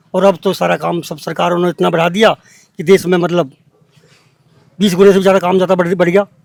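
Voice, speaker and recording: The man's voice sits high in pitch with monotone, flat intonation. His speech breaks into long, frequent pauses. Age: 60s. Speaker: villager. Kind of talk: interview.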